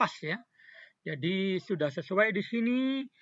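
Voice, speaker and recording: A man with a high pitch speaks at a fairly slow pace with ordinary pitch variation. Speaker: tutorial presenter. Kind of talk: tutorial. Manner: halting; soft-spoken.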